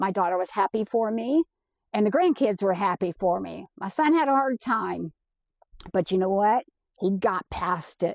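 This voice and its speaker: Speaking in a normal speaking voice, a woman at medium pitch uses lively intonation at a moderate pace, recorded dry and close with no echo over a quiet background. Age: 60s. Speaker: van life vlogger. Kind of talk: casual monologue.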